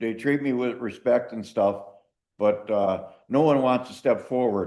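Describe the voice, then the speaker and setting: The voice has a dark, mellow tone and an American accent. Its intonation is fairly even and its pace is fairly slow. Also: man, medium pitch for a man. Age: old. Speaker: county committee member. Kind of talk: committee meeting discussion.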